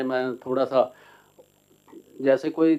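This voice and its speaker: The speaker has a Punjabi accent. The tone is dark and mellow. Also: man. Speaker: translator and author. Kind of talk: seminar talk. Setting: seated at seminar panel. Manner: halting.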